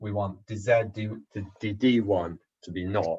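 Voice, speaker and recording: This man has a fairly low pitch, sounds somewhat breathy, and talks at a fairly slow pace. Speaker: economics lecturer. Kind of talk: lecture. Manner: halting.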